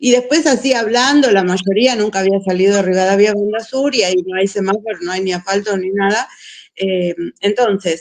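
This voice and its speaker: A woman with a Buenos Aires accent, medium pitch, ordinary pitch variation and a moderate pace. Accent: porteño Argentine Spanish. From Buenos Aires, Argentina. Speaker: missionary teacher. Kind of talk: casual chat.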